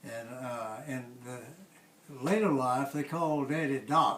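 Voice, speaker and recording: A man speaks with an American accent and a fairly high pitch. Noticeable background noise runs behind him. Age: 90s. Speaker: family elder. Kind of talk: oral history interview. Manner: halting.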